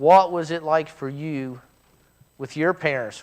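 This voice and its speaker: Very slowly and with fairly even intonation, a man with an American accent speaks at a fairly high pitch. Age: 60s. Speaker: church teacher. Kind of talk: church class talk. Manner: halting.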